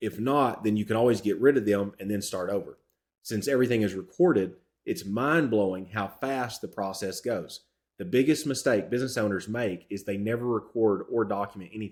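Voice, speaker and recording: On a very clean recording with a silent background, a man talks at a fairly quick pace with a Southern accent and ordinary pitch variation. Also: fairly low pitch for a man. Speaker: real estate business coach. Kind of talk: tutorial.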